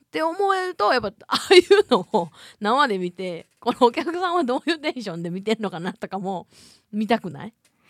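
A woman with a Kansai accent, fairly quick, with very wide pitch swings, big swings in loudness, and a dry, close sound with no echo. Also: fairly high pitch for a woman. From Hyogo, Japan. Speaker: podcast co-host. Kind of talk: casual chat. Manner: hearty belly laugh.

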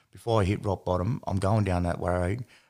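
This man talks at a fairly quick pace in a fairly low pitch. The recording is very clean, with a silent background. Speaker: podcast host. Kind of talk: casual interview.

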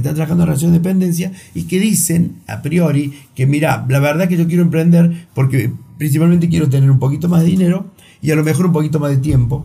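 In a room with audible echo, a man with a high pitch and a dark, mellow tone speaks very fast with ordinary pitch variation. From Argentina, Río Cuarto (Córdoba). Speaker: entrepreneur. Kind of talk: interview. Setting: studio.

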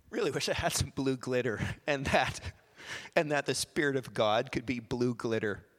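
Recorded very cleanly with a silent background, a man in a Western Canadian accent talks at a moderate pace with fairly even intonation. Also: medium pitch for a man. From Canada, small-town Alberta. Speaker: lay preacher, former missionary. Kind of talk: sermon. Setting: church, holding a microphone.

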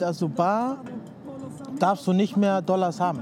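Spoken at a moderate pace with a Spanish accent, this clip has noticeable background noise. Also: man. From Cuba, Havana. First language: Spanish (speaking German). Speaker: designer. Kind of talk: casual chat. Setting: outdoors at harbour fish auction hall.

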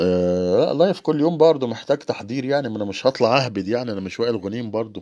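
The man's intonation is lively and his pace moderate, set against a quiet background. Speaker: livestream host. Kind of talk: casual livestream talk. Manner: halting.

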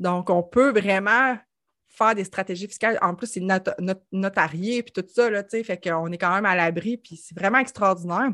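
On a very clean recording with a silent background, a woman speaks at a moderate pace and medium pitch in a bright, sharp tone, her pitch varying an ordinary amount. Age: 30s. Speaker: financial services entrepreneur. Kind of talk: casual chat.

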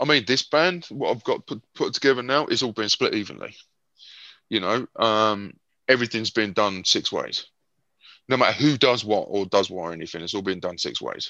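A man speaks with a British accent. The background is quiet. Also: moderate pace. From Britain. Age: 50s. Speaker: heavy metal guitarist. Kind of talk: interview.

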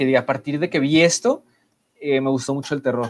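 A man talks at a fairly quick pace in a plain, everyday voice. His pitch variation is ordinary. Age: 20s. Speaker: podcast co-host. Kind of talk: casual chat.

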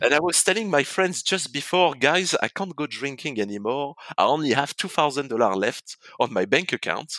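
A man's bright, sharp tone with a French accent, in a dry, close sound with no echo. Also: fairly high pitch for a man, fairly quick pace. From France. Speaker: real estate entrepreneur. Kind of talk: interview.

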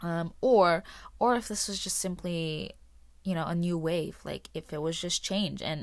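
Over a silent background in a very clean recording, a woman speaks with a fairly low pitch and ordinary pitch variation. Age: 20s. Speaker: podcast host. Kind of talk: casual solo chat. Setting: home recording with dog on lap. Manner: hesitant, many fillers.

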